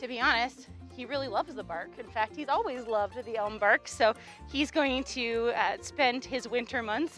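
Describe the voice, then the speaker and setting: Faint music plays in the background as a woman speaks, her sound dry with no echo. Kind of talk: casual educational commentary. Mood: warm, cheerful. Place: open country.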